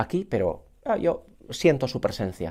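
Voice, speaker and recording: A man talks at a fairly slow pace in a dark, mellow tone. The recording is very clean, with a silent background. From Basque Country, Legazpi (Gipuzkoa). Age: 50s. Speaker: musician and choir director. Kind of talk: interview.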